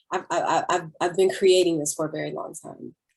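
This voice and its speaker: A woman talks at a fairly quick pace in a Southern US accent. Her pitch sits in the medium range. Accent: proper-sounding Southern (self-described). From US South (Middle Georgia). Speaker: singer and actress. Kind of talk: interview. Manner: casual, animated.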